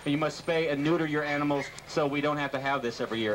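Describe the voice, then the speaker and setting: A man with a fairly high pitch rushes along at a very fast pace while noticeable background noise fills the clip. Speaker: radio show co-host. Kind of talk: live radio broadcast banter.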